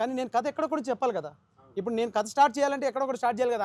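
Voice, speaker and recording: Pitched extremely high, a man's voice shows ordinary pitch variation. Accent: Telangana. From India, Telangana. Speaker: film director. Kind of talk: interview.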